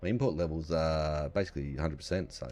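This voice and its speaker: This man is soft-spoken, with a very deep, low pitch and vocal fry. He talks at a fairly quick pace. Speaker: gaming YouTuber. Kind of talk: game commentary. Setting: home recording. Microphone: voice can be too quiet.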